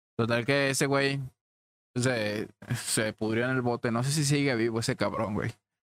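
A man with a normal speaking voice talks at a medium pitch and a moderate pace, his intonation fairly even. His loudness stays very even, and the sound is dry and close with no echo. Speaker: podcast host. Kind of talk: casual chat, storytelling.

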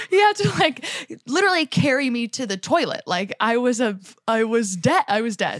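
A woman with a New York accent speaks at a moderate pace in a high, animated voice with very wide pitch swings, the sound dry and close with no echo. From New Jersey, Jersey Shore. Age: 20s. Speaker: comedian. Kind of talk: casual chat.

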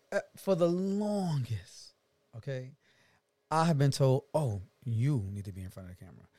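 A dark, mellow, somewhat breathy voice at a moderate pace, with very wide pitch swings, big swings in loudness, and long, frequent pauses. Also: man, medium pitch for a man. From New York, Brooklyn. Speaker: singer and reality TV personality. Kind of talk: casual interview chat.

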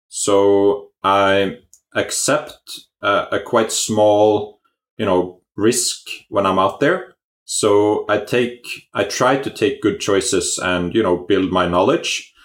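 Speaking at a very slow pace, a man is heard on a very clean recording against a silent background. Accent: Norwegian. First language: Norwegian. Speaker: company CEO. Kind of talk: interview. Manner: halting, many fillers.

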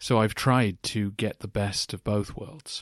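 With an ordinary speaking voice, a man talks fairly slowly at a fairly low pitch with fairly even intonation, in a dry, close, very clean recording with no echo and a silent background. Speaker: podcast host. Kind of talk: scripted-style answers to listener questions, educational talk.

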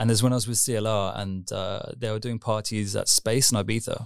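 This man, in a southern English accent, speaks at a very fast pace and a medium pitch with fairly even intonation on a very clean recording with a silent background. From southern England, Surrey near London. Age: 30s. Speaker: techno DJ and producer. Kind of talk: interview. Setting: on camera.

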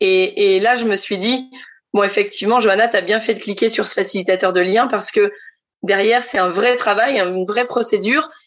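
A woman speaks in an ordinary speaking voice at medium pitch and a moderate pace, her intonation fairly even and her loudness very even throughout. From central France (Centre region). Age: 30s. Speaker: future expatriate. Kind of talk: testimony.

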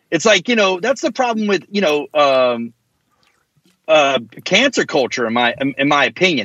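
A man's fairly high voice, very wide pitch swings, very even loudness, moderate pace and long, frequent pauses. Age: 40s. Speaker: hardcore band vocalist and lyricist. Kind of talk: casual chat. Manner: animated.

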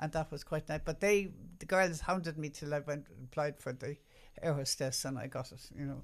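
This woman has a very deep, low pitch and an Irish accent. Her pitch varies in an ordinary way. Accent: Irish, mild, refined. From Ireland. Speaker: radio announcer. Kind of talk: casual chat, interview.

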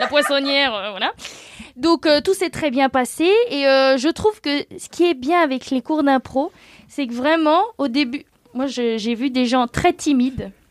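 A woman speaks loudly and very slowly at a high pitch with ordinary pitch variation, the sound dry and close with no echo. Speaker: graphic designer and illustrator. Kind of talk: casual chat.

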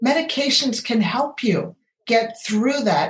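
A woman speaks at a fairly slow pace with lively intonation. Her voice is somewhat breathy. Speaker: medical doctor and podcast host. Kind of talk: interview. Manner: animated.

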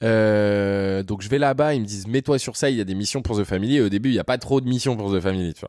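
On a very clean recording with a silent background, a man with a fairly low pitch talks at a very fast pace in an animated tone, with ordinary pitch variation and hardly any pauses. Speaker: content creator. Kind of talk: casual interview.

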